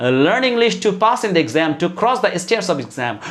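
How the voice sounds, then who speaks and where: There is audible room echo as a man speaks with a Bangladeshi accent. His high-pitched voice swings very widely in pitch. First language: Bengali. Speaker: English teacher. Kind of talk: motivational lecture. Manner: halting with many fillers.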